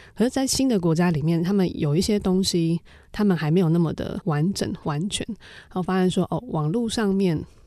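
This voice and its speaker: Recorded very cleanly against a silent background, a woman speaks fairly quickly at a medium pitch, with a dark, mellow tone and ordinary pitch variation. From Taiwan. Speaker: founder of a civic digital diplomacy association. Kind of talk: interview.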